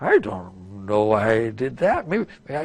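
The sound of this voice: A put-on character voice with lively intonation at a fairly slow pace. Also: man, medium pitch for a man.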